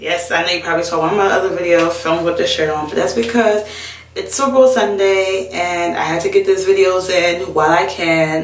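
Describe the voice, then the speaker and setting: Audible room echo and noticeable background noise accompany a woman as she speaks. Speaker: beauty vlogger. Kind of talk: tutorial. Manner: fast; casual, chatty.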